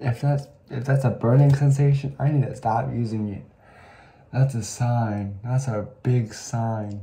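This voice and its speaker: Somewhat breathy and dark, mellow in tone, a man talks at a fairly slow pace with fairly even intonation. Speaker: vlogger. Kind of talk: casual vlog chat. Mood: dramatic complaining about burning. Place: bathroom. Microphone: phone near.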